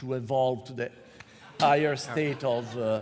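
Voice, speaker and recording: In an Italian accent, a man with a medium pitch speaks at a fairly slow pace. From Italy. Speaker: panel moderator. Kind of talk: comedic panel discussion.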